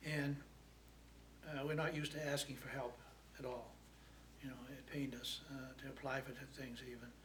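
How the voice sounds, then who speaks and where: Heard with audible room echo, a man with vocal fry speaks at a medium pitch and moderate pace in a flat monotone, leaving long, frequent pauses. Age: 70s. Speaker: food pantry client. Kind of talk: testimony. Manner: halting.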